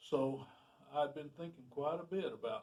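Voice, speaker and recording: A man with a fairly high pitch, ordinary pitch variation and a somewhat breathy quality. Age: 70s. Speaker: retired carpenter sharing experience. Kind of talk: personal storytelling monologue. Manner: halting, with fillers and restarts.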